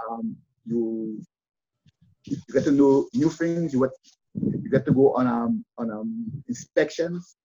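Music plays in the background of this dry, close recording with no echo. A man with a fairly high pitch speaks at a very slow pace, leaving long, frequent pauses. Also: lively intonation. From Dominica (Roseau). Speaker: retired firefighter and former goalkeeper. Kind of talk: interview. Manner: soft-spoken.

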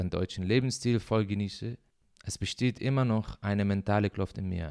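A man's fairly low voice with an Arabic accent and ordinary pitch variation, in a dry, close sound with no echo. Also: very clean recording, silent background. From Syria. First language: Arabic (speaking German). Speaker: podcaster. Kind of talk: personal monologue. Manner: halting.

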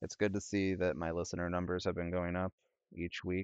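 With a quiet background behind him, a man speaks in a very deep, low pitch. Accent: Upper Midwest. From US Midwest, northern Illinois. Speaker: podcast host. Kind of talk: casual solo chat. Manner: rambling, many fillers.

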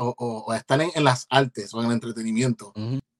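A man speaks in a Puerto Rican accent. The sound is dry and close, without echo. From Puerto Rico (Ceiba). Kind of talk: interview.

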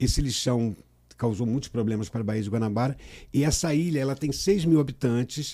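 A man's dark, mellow tone at a fairly quick pace. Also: medium pitch for a man, ordinary pitch variation. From Rio de Janeiro state, Brazil (Cabo Frio, raised in Niterói). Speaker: environmental NGO president. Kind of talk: casual interview.

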